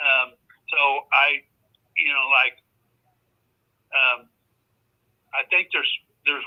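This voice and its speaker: Pausing long and often, a man talks very slowly. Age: 80s+. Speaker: landlord selling rental houses. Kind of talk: phone sales call. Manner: halting.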